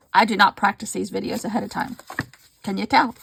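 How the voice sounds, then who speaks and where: A woman mumbles. The sound is dry and close, with no echo. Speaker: mixed media crafter. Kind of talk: casual craft vlog. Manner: fast; mumbling.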